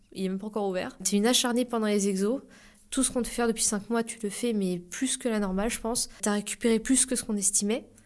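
A woman speaks very fast at a fairly high pitch with fairly even intonation, in a very clean recording with a silent background. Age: 20s. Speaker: para-athlete. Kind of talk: interview.

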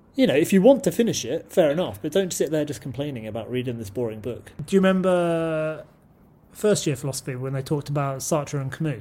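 A man with a British accent, a dark, mellow tone and a somewhat breathy voice, talking at a very fast pace with lively intonation. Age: 20s. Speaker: martial arts practitioner and stunt performer. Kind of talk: casual chat.

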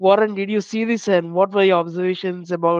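An Indian accent against a quiet background. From Mumbai, India. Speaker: podcast co-host. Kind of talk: casual chat.

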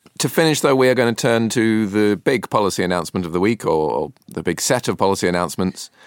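A man's fairly low voice with a British accent, very fast and lively in intonation, in a dry, close sound with no echo. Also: hardly any pauses, very clean recording, silent background. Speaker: podcast host. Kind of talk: panel discussion. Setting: studio.

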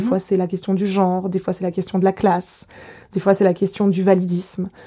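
A woman's medium-pitched voice in a dark, mellow tone, over a quiet background. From Geneva, Switzerland. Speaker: political theory lecturer. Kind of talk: interview. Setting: academic office. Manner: hesitant, many fillers.

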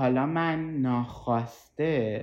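Her pitch is very deep and low for a woman, with ordinary pitch variation. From Tehran, Iran. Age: 20s. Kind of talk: personal testimony. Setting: at home on a couch.

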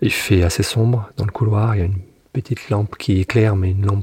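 The man speaks in a fairly low pitch. His intonation is fairly even. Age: 50s. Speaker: former prison inmate. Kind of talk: testimony. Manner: halting.

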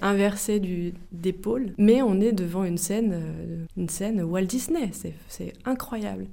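Fairly slow and with fairly even intonation, a woman speaks at a medium pitch in a dark, mellow tone. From France, Melun (Seine-et-Marne). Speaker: video artist. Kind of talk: interview. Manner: halting, with frequent repetitions and fillers.

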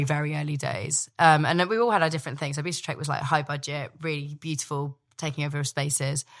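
A woman with a very deep, low pitch, at a fairly quick pace with big swings in loudness, in a very clean recording with a silent background. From Scotland (Dumfries), born in London. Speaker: chef. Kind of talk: casual chat. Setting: home kitchen.

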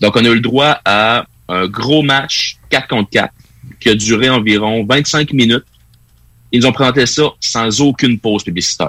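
A man talks at a fairly slow pace with a medium pitch and ordinary pitch variation. His tone is bright and sharp, and the sound is dry and close with no echo. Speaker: wrestling pundit. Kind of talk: casual chat.

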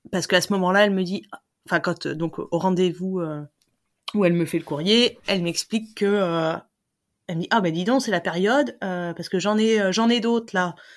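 At a moderate pace, a woman with a medium pitch and ordinary pitch variation speaks on a very clean recording with a silent background. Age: 30s. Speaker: interviewee sharing personal fertility story. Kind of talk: testimony. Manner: hesitant, many fillers.

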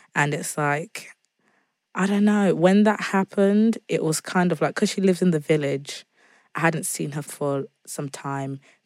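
A woman speaks in a British accent at a fairly low pitch. The recording is very clean with a silent background and a dry, close sound with no echo. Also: ordinary pitch variation, moderate pace. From England, Zimbabwean family. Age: 20s. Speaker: singer-songwriter. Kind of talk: casual interview chat.

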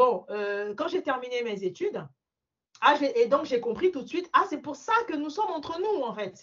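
A woman's high voice with a slight African accent, very wide pitch swings and a fairly slow pace. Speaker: mortgage broker. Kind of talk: interview.

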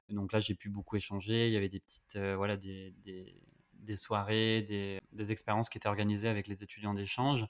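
A man's fairly low voice at a fairly quick pace, flat and monotone. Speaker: podcast host. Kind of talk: interview conversation. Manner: hesitant, many fillers.

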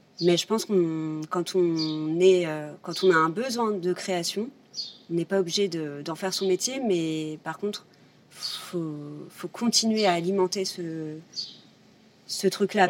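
Amid noticeable background noise, a woman with a fairly low pitch speaks at a fairly slow pace, her intonation fairly even and her loudness swinging widely. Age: 30s. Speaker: visual artist. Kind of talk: casual chat.

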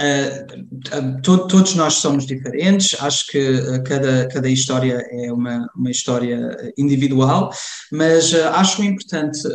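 A man with a fairly high voice speaks at a very slow pace, his pitch varying in an ordinary way. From Germany, Cologne, Portuguese parents from Lamego. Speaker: community association member. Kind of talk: interview conversation. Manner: halting, many fillers and repetitions.

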